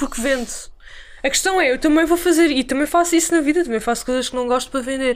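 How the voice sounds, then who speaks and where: High-pitched speech from a woman with ordinary pitch variation. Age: 20s. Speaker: illustrator and animation student. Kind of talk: casual interview.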